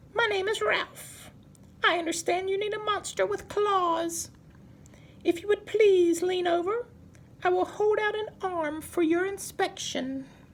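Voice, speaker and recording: Over clear background noise, a put-on character voice at an extremely high pitch moves along at a fairly slow pace. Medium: read story. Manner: polite, prim.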